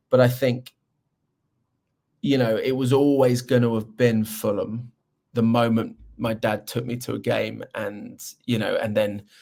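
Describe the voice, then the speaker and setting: A man with a London accent speaks at a fairly slow pace, with long, frequent pauses. His tone is dark and mellow, his pitch medium, and his intonation monotone and flat. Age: 40s. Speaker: presenter and football fan. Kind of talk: podcast interview. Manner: halting.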